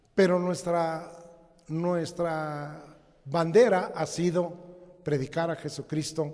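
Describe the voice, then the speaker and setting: Speaking very slowly in a flat monotone, a man with a fairly high voice is heard with audible room echo. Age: 70s. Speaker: pastor. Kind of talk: sermon. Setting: church.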